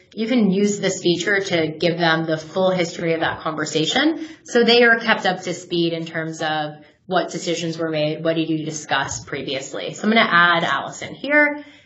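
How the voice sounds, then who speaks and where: Against noticeable background noise and audible room echo, a woman with a fairly low voice speaks with an American accent at a moderate pace, with ordinary pitch variation and hardly any pauses. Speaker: software product manager. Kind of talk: webinar product demo. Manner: casual with fillers.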